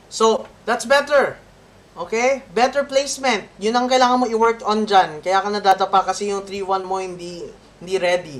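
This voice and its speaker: Against noticeable background noise, a woman speaks at a moderate pace with a medium pitch and lively intonation. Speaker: violin teacher. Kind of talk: masterclass coaching.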